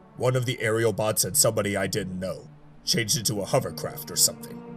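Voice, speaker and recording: A man's put-on character voice, fairly low in pitch and very fast, over clear music in the background. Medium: audio drama. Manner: curt, clipped.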